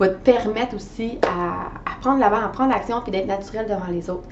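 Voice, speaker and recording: A woman at a fairly high pitch with ordinary pitch variation, audible room echo and noticeable background noise. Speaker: life coach. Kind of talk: coaching video monologue. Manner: hesitant fillers.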